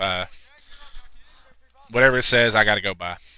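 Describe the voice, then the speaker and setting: Moderately paced talking amid noticeable background noise. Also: man. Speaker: sports play-by-play commentator. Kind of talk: live commentary.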